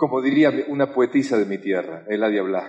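Speaking with a Rioplatense accent, the voice moves at a fairly slow pace with lively intonation. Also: man. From Argentina. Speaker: motivational speaker. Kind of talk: motivational talk.

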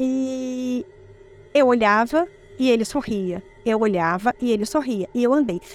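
Over noticeable background noise, a woman speaks in a high voice with lively intonation. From Espírito Santo, Brazil. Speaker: eyewitness telling her own experience. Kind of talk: first-person ghost story telling, recounting a creepy childhood encounter.

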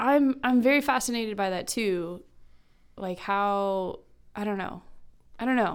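A woman with an American accent at a fairly slow pace, long, frequent pauses and ordinary pitch variation, in a very clean recording with a silent background. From Kansas. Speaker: math instructional coach. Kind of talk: casual chat.

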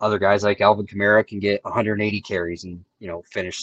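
With a dry, close sound and no echo, a man speaks at a fairly low pitch with fairly even intonation. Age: 30s. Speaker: fantasy football player. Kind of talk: casual chat.

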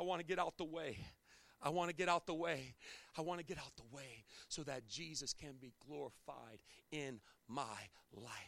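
A man talks at a moderate pace with ordinary pitch variation, big swings in loudness, and long, frequent pauses. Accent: American. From Chesapeake Bay area, US. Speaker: pastor. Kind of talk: sermon. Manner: animated.

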